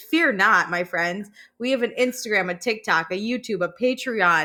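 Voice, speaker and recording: A woman with a Chicago accent, a fairly high pitch, a bright, sharp tone and lively intonation, at a fairly slow pace, on a very clean recording with a silent background. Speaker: podcast co-host. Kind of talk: casual chat.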